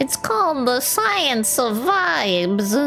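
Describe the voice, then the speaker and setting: Clear music plays behind the speaker. The put-on character voice drags along at a very slow pace. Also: female-sounding voice, high pitch for a woman. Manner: nerdy, put-on.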